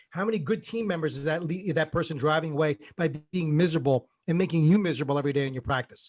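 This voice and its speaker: A man with an American accent talks very fast at a fairly high pitch with ordinary pitch variation. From New Jersey, US. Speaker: dental practice coach. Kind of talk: podcast interview. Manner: animated.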